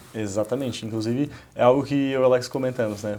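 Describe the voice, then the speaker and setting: Ordinary pitch variation in a Santa Catarina accent. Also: man. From Santa Catarina, Brazil. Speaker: entrepreneur, company founder. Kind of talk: casual interview.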